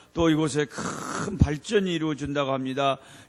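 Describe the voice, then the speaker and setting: A man talks with fairly even intonation. Background noise is clearly noticeable. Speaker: missionary preacher. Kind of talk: revival sermon; congregational prayer. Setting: church service. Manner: fervent, repetitive prayer style.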